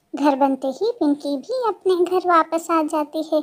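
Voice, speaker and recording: At a moderate pace, a squeaky, cartoonish character voice talks at an extremely high pitch. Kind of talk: children's cartoon narration. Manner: warm, expressive, sympathetic.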